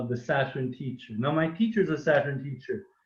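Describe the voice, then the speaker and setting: A man is speaking. His voice sounds somewhat breathy. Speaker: webinar host, spiritual teacher. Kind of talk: reading aloud a poem; online panel talk.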